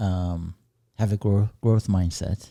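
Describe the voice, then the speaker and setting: A man speaks at a fairly slow pace with a dark, mellow tone, on a very clean recording with a silent background. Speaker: podcast co-host. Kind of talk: casual podcast conversation.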